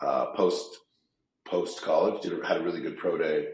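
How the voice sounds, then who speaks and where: Moderate-paced speech from a man with an American accent, room echo clearly audible. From California Bay Area. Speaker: sales professional and former pro football player. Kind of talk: interview. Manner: casual, many fillers and repetitions.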